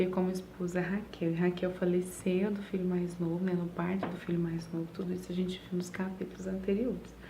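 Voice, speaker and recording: Soft-spoken and somewhat breathy, a woman talks at a medium pitch with a dark, mellow tone amid audible room echo. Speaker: women's Bible reading host. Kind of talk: Bible reading with commentary. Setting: at home at night. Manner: soft-spoken, speaking quietly.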